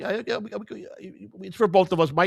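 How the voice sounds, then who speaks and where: With a Chicago accent, a man talks at a very fast pace and with ordinary pitch variation. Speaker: podcast co-host. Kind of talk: casual chat.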